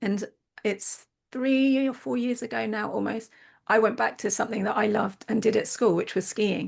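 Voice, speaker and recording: In a quiet background, a woman with a fairly high pitch and vocal fry talks at a moderate pace. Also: ordinary pitch variation. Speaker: podcast host. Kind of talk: interview.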